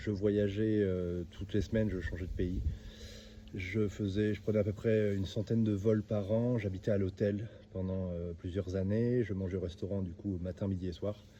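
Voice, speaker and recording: The voice has a dark, mellow, somewhat breathy tone. It moves at a moderate pace with monotone, flat intonation. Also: man, fairly low pitch for a man. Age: 30s. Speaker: e-commerce entrepreneur and coach. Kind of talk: self-introduction monologue. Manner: hesitant, many fillers and repetitions.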